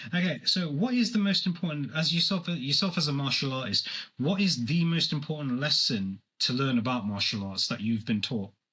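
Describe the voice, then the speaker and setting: Speaking at a fairly quick pace, a man with a fairly high pitch and a bright, sharp tone makes very wide pitch swings. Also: very even loudness. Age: 40s. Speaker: podcast host. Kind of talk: interview.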